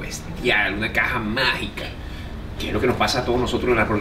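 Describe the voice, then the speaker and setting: There is noticeable background noise as a man speaks. His pitch is medium and his pace fairly quick. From Venezuela. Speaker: comedian and radio host. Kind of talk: interview answer. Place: bar. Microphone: phone near.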